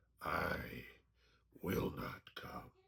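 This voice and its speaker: A man puts on a raspy character voice. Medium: puppet show. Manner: proud, commanding.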